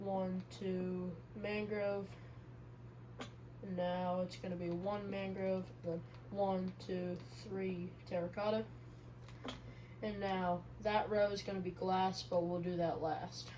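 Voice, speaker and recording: A woman speaks quietly at a very slow pace, with long, frequent pauses. Audible room echo surrounds her voice. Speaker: gaming YouTuber. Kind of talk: gameplay commentary. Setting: home recording.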